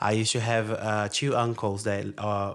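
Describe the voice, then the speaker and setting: A man's fairly low voice in a Brazilian accent, with monotone, flat intonation. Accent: foreign accent, Brazilian. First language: Portuguese. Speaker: podcast guest, engineer. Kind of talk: casual chat. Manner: halting, many fillers.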